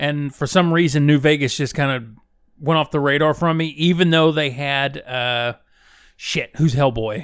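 This very clean recording has a silent background and a man speaking at a fairly slow pace. He has an unremarkable speaking voice, fairly high in pitch, with ordinary pitch variation. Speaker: video game podcast co-host. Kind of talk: casual chat.

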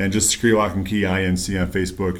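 A man speaks fairly quickly with an American accent. Room echo is audible. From upstate New York, rural. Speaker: locksmith and security business owner. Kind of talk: casual interview. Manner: halting, many fillers.

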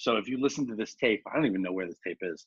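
With a slightly husky edge, a man speaks very fast in a fairly low pitch with lively intonation.

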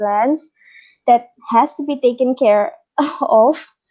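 A high-pitched woman with an Indonesian accent. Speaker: international master's student. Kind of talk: casual interview chat.

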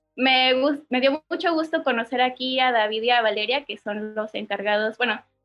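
Speaking with a Mexican accent, a woman talks at a moderate pace in a high voice with ordinary pitch variation. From Mexico, Oaxaca. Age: 20s. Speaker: barista. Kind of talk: casual chat. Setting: video call.

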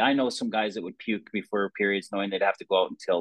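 A man talks in a North American accent. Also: dry, close sound with no echo. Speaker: podcast host, former hockey player. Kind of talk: casual interview.

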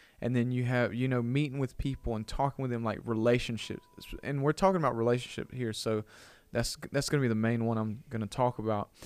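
A man with an Alabama accent speaks at a very fast pace and medium pitch. His intonation stays fairly even. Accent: Southern US (Alabama). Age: 20s. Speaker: church youth pastor. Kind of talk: casual chat. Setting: studio.

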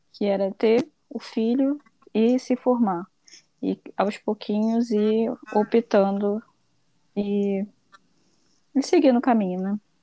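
A woman's fairly high pitch with a dark, mellow tone, very slow pace, long, frequent pauses, fairly even intonation, and a dry, close sound with no echo. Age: 20s. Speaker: accountant. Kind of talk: interview.

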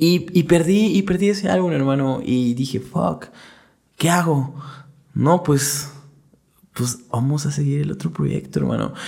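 A man's fairly high, somewhat breathy voice at a fairly slow pace, with ordinary pitch variation and long, frequent pauses. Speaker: rapper and law student. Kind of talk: casual chat.

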